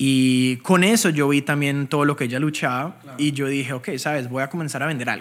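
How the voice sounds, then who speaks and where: The speech moves at a fairly quick pace with hardly any pauses and ordinary pitch variation, on a very clean recording with a silent background. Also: man, fairly high pitch for a man. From Colombia, Bogotá. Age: 20s. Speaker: crypto trader and educator. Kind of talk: interview.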